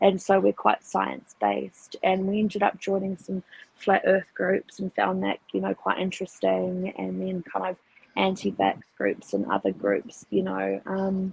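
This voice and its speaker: With a New Zealand accent, a woman speaks at a fairly slow pace. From New Zealand, Auckland. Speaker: atheist guest. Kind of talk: casual conversational interview.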